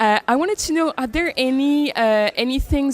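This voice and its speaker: A woman with a French accent, at a moderate pace, with ordinary pitch variation. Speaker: interviewer. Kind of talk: interview. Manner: halting.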